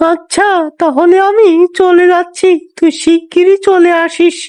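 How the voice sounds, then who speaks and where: The voice is a cartoonish character voice at an extremely high pitch. It moves at a fairly slow pace. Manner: cautious.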